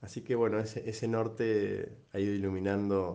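A man with an Argentine accent speaks in a dark, mellow tone at a fairly low pitch, his intonation monotone and flat, with audible room echo around him. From Argentina, Entre Ríos. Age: 30s. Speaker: father giving a testimony. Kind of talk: personal testimony.

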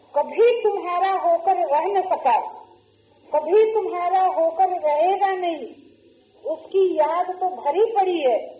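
With audible room echo, a woman talks in an extremely high voice with ordinary pitch variation. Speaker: spiritual teacher. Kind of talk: sermon. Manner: slow.

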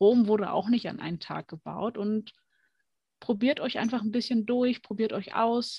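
Somewhat breathy, a woman speaks at a fairly slow pace with fairly even intonation, recorded in a dry, close sound with no echo. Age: 20s. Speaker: card reading tutor. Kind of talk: casual chat.

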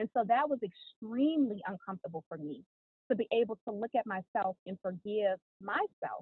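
In an American accent, a woman with an unremarkable speaking voice talks at a moderate pace, her fairly high pitch moving with lively intonation. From US South, New Orleans then Atlanta. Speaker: author and reality TV personality. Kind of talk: podcast interview.

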